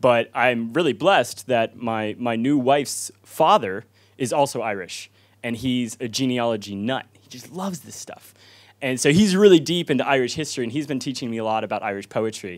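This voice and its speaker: Against a quiet background, the speech moves at a fairly quick pace with big swings in loudness. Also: man. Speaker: speaker. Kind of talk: informal talk to audience. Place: hall. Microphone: handheld.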